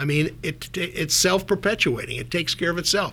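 With an American accent, a man talks at a moderate pace in a fairly high, bright, sharp voice with vocal fry and ordinary pitch variation. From North Dakota, US. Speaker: former CEO of a diagnostics company. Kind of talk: radio interview.

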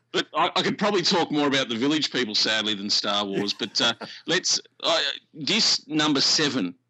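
A man with an Australian accent speaks at a moderate pace in a fairly high pitch. His pitch swings very widely while his loudness stays very even. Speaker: radio presenter.

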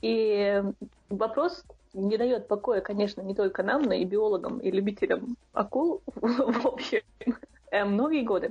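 A woman's fairly high voice at a fairly slow pace, with ordinary pitch variation, long, frequent pauses and noticeable background noise. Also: very even loudness. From Chechnya, Shatoy. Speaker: podcast co-host. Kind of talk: casual chat.

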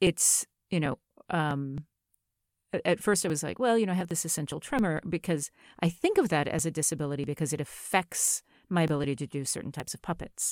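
A woman with an American accent and a very deep, low voice at a fairly quick pace, in a very clean, dry, close recording with a silent background and no echo. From US South. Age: 50s. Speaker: novelist. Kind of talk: interview.

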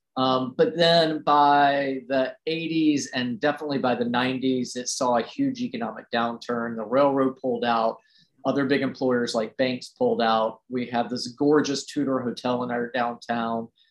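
A man with an American accent talks at a medium pitch with fairly even intonation and hardly any pauses. He has a plain, everyday voice. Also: moderate pace. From US South, Roanoke, Virginia (Appalachia). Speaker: preservation blogger restoring a family farm. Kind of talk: casual interview. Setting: at home, in his restored house.

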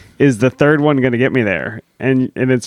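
Speaking fairly quickly at a medium pitch, a man has a normal speaking voice, recorded dry and close with no echo against a quiet background. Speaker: podcast host. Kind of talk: casual chat.

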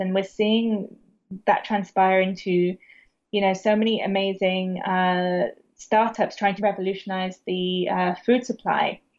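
A woman with a British accent speaks at a medium pitch in monotone, flat intonation. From England, Bath. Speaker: founder of a vegan media brand. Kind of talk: interview.

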